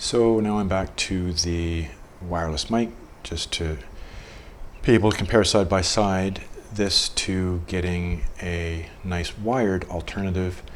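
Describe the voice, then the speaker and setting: Amid audible room echo and noticeable background noise, a man with a very deep, low voice talks at a fairly slow pace with fairly even intonation. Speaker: teacher. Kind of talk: tutorial. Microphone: switches between wireless lapel mic, laptop mic and cheap wired headset; built-in laptop mic, poor quality.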